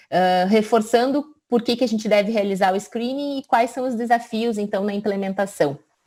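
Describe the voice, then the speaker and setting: A woman with a fairly high pitch and a dark, mellow tone speaks at a moderate pace with hardly any pauses and ordinary pitch variation. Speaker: physician. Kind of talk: lecture.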